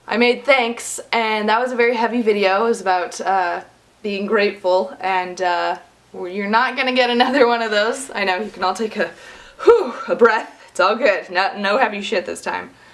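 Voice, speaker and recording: Noticeable background noise sits behind this recording. A woman with an American accent speaks at a moderate pace. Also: ordinary pitch variation. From United States. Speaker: YouTuber / vlogger. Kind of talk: casual vlog monologue.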